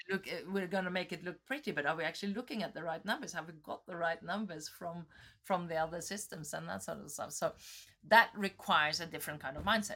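A woman with a Norwegian accent speaks very fast at a fairly low pitch, her bright, sharp tone showing ordinary pitch variation and big swings in loudness on a very clean recording with a silent background. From Norway. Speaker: tech entrepreneur. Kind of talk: interview.

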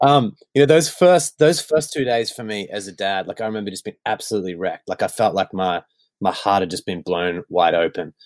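In a dry, close recording with no echo, a man with an Australian accent speaks fairly quickly at a fairly low pitch, his intonation lively and his loudness swinging widely. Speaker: worship songwriter. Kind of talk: casual chat. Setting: video call.

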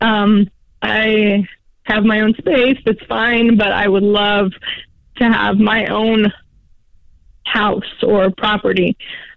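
Very slow, monotone speech from a woman at a fairly high pitch, with very even loudness and long, frequent pauses. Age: 30s. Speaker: caller, waitress. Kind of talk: phone-in question. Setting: phone call.

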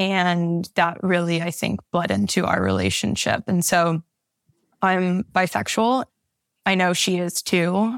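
At a fairly slow pace, a woman with a fairly low pitch and ordinary pitch variation uses a normal speaking voice in a very clean recording with a silent background. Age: 20s. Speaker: podcast listener seeking advice. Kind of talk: personal coaching conversation.

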